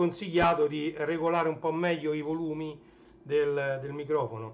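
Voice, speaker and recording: Loud and high-pitched, a man speaks at a fairly slow pace. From Naples, southern Italy. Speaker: livestreamer, retro tech collector. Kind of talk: casual livestream chat. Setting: live stream.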